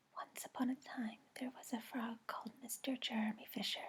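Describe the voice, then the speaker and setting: Someone whispers softly at a moderate pace. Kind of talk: audiobook read-aloud for sleep. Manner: whispered, soft-spoken.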